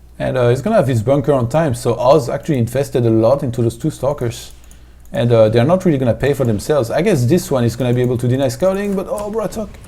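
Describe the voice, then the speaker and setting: The voice has a dark, mellow tone with vocal fry and moves at a very fast pace. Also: man, medium pitch for a man. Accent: French. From France. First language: French. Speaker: esports commentator. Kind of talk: live commentary.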